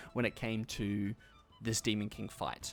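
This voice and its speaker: A man talks rather quickly. Music can be heard in the background. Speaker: gaming YouTuber. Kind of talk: gameplay commentary. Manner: fast.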